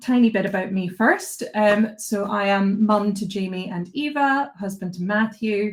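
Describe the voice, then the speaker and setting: A woman speaks with a strong Scottish accent and a somewhat breathy voice. Her pace is fairly slow. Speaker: behaviour analyst, presenter. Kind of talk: online lecture.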